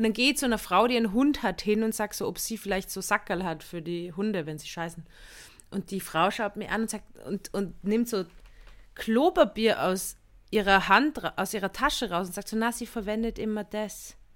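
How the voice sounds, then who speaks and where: A woman's medium-pitched voice at a moderate pace, with ordinary pitch variation, on a very clean recording with a silent background. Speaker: comedian and podcast co-host. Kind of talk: casual chat.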